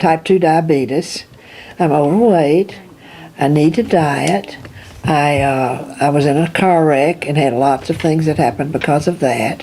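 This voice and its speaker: Noticeable background noise runs under a woman with a very deep, low pitch and ordinary pitch variation. She keeps a fairly slow pace and very even loudness. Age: 80s+. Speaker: patient. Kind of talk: interview.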